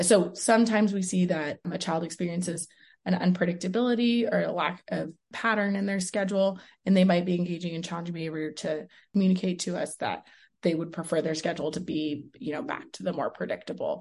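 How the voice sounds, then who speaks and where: Speaking very fast in a fairly low, somewhat breathy voice with an American accent, a woman shows ordinary pitch variation against a quiet background. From Texas, Houston. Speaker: special education professor. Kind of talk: interview.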